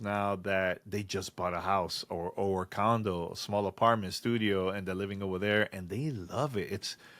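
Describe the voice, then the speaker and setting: Speaking with a strong Dominican accent, a man keeps a moderate pace and ordinary pitch variation on a very clean recording with a silent background. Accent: Dominican accent, thick. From Dominican Republic, San Francisco de Macorís. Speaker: podcast co-host. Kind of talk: casual chat.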